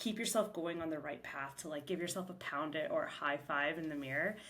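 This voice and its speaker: Audible room echo surrounds a woman whose fairly low voice shows ordinary pitch variation. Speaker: podcast host, salon owner and mentor. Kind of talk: solo podcast talk. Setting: back room of a shop. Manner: fast; casual, filler-heavy.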